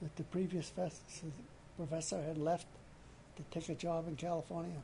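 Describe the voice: Fairly high in pitch, a man with a Maine accent speaks in a dark, mellow tone. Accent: Maine, New England.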